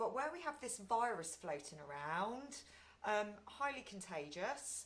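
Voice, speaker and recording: A loud voice moves at a fairly slow pace with very wide pitch swings and audible room echo. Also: woman, fairly high pitch for a woman. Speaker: meditation group leader. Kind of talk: guided meditation talk. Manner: frequent ums.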